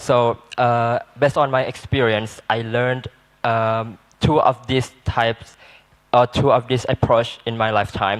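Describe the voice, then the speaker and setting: In a Malaysian accent, a man talks at a medium pitch and a fairly slow pace with monotone, flat intonation. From southern Thailand, Patani Malay speaking. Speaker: student panelist. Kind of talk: panel discussion. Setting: seminar. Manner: halting.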